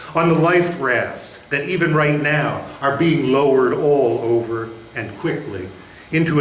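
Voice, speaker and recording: Noticeable background noise sits behind a man talking at a fairly slow pace. His voice is fairly high, with ordinary pitch variation. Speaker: poet, former state poet laureate. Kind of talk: poetry reading at a live literary event.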